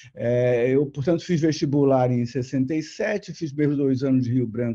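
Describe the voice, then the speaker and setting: Over a quiet background, a man talks at medium pitch with a dark, mellow tone and ordinary pitch variation. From Brazil, Rio de Janeiro. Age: 70s. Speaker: retired diplomat. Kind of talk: interview. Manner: halting, many repeated words.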